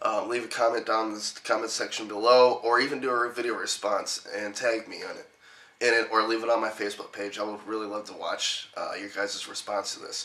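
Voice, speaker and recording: A man's fairly quick speech with big swings in loudness, over noticeable background noise. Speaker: gaming YouTuber. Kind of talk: casual vlog. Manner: many fillers, casual.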